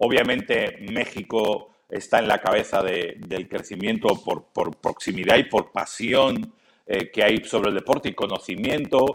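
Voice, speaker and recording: Talking at a fairly slow pace with hardly any pauses, a man speaks with a Castilian accent. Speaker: NFL commentator. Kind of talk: interview.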